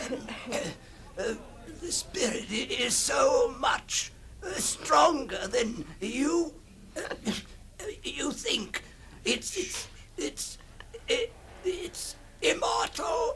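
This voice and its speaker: Clear background noise sits under a man's put-on character voice. He talks at a very slow pace with long, frequent pauses. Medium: old radio play. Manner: halting, stammering, repetitive.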